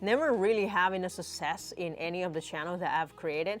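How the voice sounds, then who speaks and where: Over music in the background, a woman talks with ordinary pitch variation. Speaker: YouTuber, engineer and entrepreneur. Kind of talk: unscripted vlog monologue. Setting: home studio in basement. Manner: hesitant with filler sounds.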